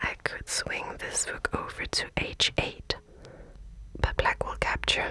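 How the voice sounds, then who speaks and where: Whispering at a very slow pace, a woman with a non-native accent speaks in a calm tone over noticeable background noise. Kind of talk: casual thinking-aloud while solving chess puzzles. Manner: soft, whispery, calm.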